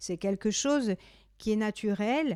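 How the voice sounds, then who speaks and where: Speaking very slowly in a Corsican accent, a woman has a dark, mellow tone, with a dry, close sound with no echo on a very clean recording with a silent background. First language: Corsican (speaking French). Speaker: poet and singer. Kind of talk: interview. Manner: halting.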